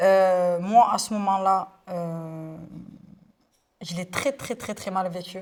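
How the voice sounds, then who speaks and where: Fairly low in pitch, a woman speaks at a very slow pace with fairly even intonation, in a very clean recording with a silent background. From Marseille, southern France. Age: 20s. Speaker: influencer. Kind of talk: interview testimony. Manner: hesitant, many fillers.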